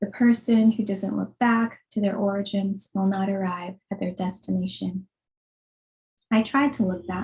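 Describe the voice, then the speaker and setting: A somewhat breathy woman's voice at a moderate pace with fairly even intonation. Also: medium pitch for a woman. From Philippines. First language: Tagalog. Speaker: writer. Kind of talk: reading aloud. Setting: video call.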